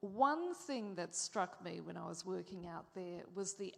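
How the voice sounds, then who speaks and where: With an Australian accent and vocal fry, a woman speaks at a medium pitch and a fairly slow pace, using ordinary pitch variation. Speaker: moderator, former Middle East correspondent. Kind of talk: panel interview.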